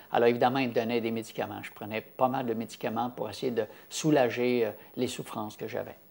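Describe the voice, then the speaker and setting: With a Quebec accent, a man speaks in a monotone, flat intonation at medium pitch and a fairly quick pace. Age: 70s. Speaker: health campaigner. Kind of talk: interview testimony. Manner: halting, many fillers.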